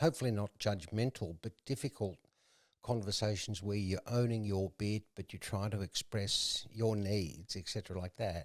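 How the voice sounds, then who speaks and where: A man at a fairly low pitch and a moderate pace, with ordinary pitch variation, is heard in a very clean recording that has a silent background and a dry, close sound with no echo. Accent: Australian. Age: 60s. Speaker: entrepreneur in recovery. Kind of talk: casual chat.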